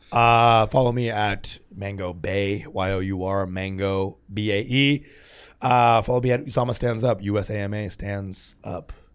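In a very clean recording with a silent background, a man with an American accent and an ordinary speaking voice talks at a fairly slow pace, his pitch fairly low. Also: fairly even intonation. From Texas. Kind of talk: casual chat.

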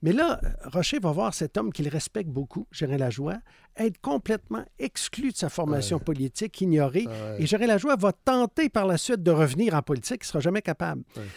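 In a Quebec accent, a man with a high pitch speaks at a fairly quick pace, his voice swinging very widely in pitch. The recording is very clean with a silent background and a dry, close sound with no echo. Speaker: biographer and former journalist. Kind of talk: interview.

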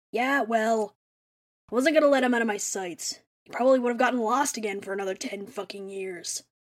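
A put-on character voice, gravelly and hoarse. It moves at a fairly quick pace. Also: female-sounding voice, fairly high pitch for a woman. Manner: irritable, profane, blustering.

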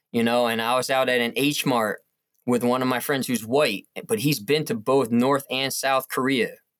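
Using an unremarkable speaking voice, a man talks at a moderate pace and medium pitch, with fairly even intonation and very even loudness. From US Northeast, northwest New Jersey. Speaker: educator. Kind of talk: casual interview.

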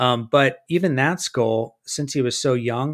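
In a very clean recording with a silent background, a man with an American accent and an ordinary speaking voice talks at a fairly slow pace, medium pitch and ordinary pitch variation. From California. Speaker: hunter who makes skull mounts. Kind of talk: casual chat.

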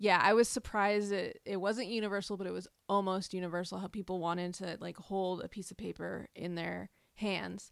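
A woman with a plain, everyday voice speaks at a medium pitch and a fairly quick pace, with hardly any pauses. Her intonation is fairly even, her loudness swings widely, and the recording is very clean with a silent background. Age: 40s. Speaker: food journalist and podcast host. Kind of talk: casual interview.

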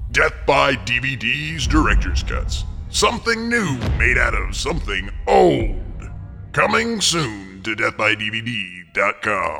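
A booming, put-on character voice at a very slow pace, with faint music in the background. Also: man. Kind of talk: cinematic promo.

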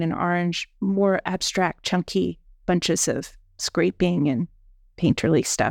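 In a very clean recording with a silent background, a woman speaks at medium pitch. She has a normal speaking voice and talks at a fairly slow pace. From Pennsylvania, near Gettysburg. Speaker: artist and curator. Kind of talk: interview. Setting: studio.

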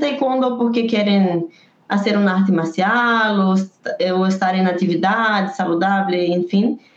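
A somewhat breathy, medium-pitched woman at a very slow pace with lively intonation. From Brazil. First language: Portuguese (speaking Spanish). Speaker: taekwondo poomsae coach. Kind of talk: interview.

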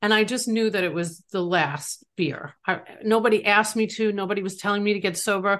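Her speech shows ordinary pitch variation, as a woman with an unremarkable speaking voice talks at a medium pitch. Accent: American. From New York. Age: 50s. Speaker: author in addiction recovery. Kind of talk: interview, personal testimony.

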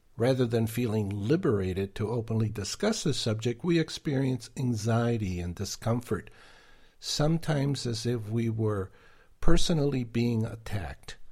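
A somewhat breathy, dark and mellow voice moves at a moderate pace with ordinary pitch variation on a very clean recording with a silent background. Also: man, medium pitch for a man. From Argentina. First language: Spanish. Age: 70s. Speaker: author and podcast creator. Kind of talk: interview.

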